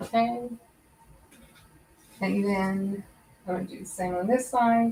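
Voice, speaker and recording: Over noticeable background noise, a woman of medium pitch speaks with fairly even intonation. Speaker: crafting YouTuber. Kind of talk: live sewing tutorial. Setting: YouTube live stream. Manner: fast; hesitant, many fillers. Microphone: far from the mic.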